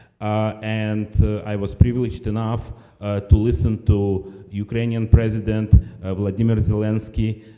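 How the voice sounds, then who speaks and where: Music plays in the background as a man speaks at a moderate pace, his fairly low voice flat and monotone. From former Soviet Union. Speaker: nonprofit director. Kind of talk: speech at benefit event.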